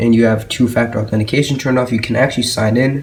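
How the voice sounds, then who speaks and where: Medium-pitched male voice, monotone and flat, with noticeable background noise. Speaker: tech tutorial maker. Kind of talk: screen-recorded tech tutorial. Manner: casual, hesitant with fillers.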